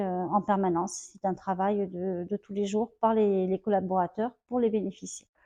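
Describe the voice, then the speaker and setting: In a dark, mellow tone, a woman speaks with monotone, flat intonation, recorded dry and close with no echo against a quiet background. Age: 50s. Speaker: home help worker. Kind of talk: interview testimony. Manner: hesitant, many fillers.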